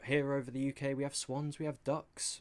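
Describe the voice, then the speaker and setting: Captured in a very clean recording with a silent background, a man with a British accent speaks at medium pitch and a moderate pace. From England. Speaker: esports caster. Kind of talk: live commentary.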